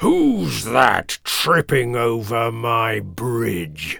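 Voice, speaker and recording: A man in a put-on character voice bellows at a very slow pace, raspy and at medium pitch. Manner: roaring.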